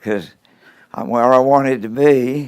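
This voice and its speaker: A man in a Maine accent talks at a medium pitch and a fairly slow pace. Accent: Downeast Maine. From Maine coast (Stonington area). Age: 80s+. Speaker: lobsterman. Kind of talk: interview.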